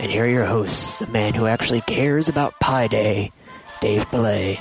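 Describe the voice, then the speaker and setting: Over clear music in the background, a man performs in a put-on character voice. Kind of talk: radio announcer. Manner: booming, upbeat.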